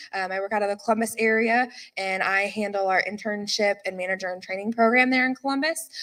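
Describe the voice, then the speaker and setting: Bright and sharp in tone, a woman talks at a very fast pace with ordinary pitch variation. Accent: US Midwestern. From Indiana, small town. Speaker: operations manager. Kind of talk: conference presentation.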